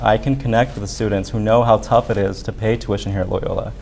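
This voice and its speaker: Over noticeable background noise, a man speaks at a very fast pace and a fairly low pitch, in a monotone with flat intonation. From Arizona, US. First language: Spanish. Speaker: student government candidate. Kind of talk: debate.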